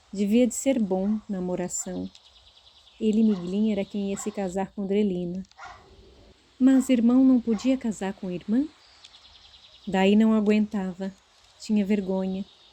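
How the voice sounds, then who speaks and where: The speech moves at a fairly slow pace with fairly even intonation and long, frequent pauses, against noticeable background noise. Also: woman, medium pitch for a woman. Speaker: audiobook narrator. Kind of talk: literary audiobook narration. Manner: expressive, character-differentiating.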